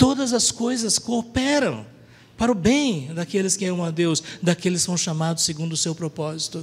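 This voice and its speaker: A man is speaking. His intonation is lively. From Brazil, Paraná. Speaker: preacher. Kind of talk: sermon.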